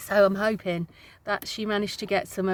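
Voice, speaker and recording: Speaking with an English accent, a woman has a bright, sharp tone at a medium pitch and a moderate pace. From UK. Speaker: vlogger, single mum. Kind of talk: casual vlog chat to camera. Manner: chatty, hesitant with many ums.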